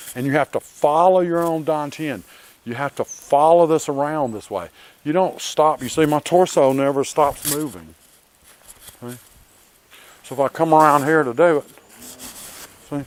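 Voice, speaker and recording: A man with a Southern US accent speaks at a moderate pace in a fairly high pitch, with ordinary pitch variation and big swings in loudness. Long, frequent pauses break up the speech, and the sound is dry and close with no echo. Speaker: martial arts instructor. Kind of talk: tutorial. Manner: casual, conversational.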